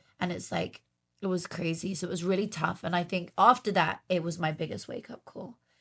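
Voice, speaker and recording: Fairly quick and fairly even in intonation, the speech comes in a British accent. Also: woman, fairly low pitch for a woman. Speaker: podcast host. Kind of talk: casual interview chat. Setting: studio.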